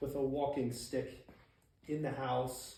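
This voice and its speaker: A man speaks in a plain, everyday voice, fairly high in pitch, at a fairly slow pace. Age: 40s. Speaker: person living with muscular dystrophy. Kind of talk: casual talk to camera.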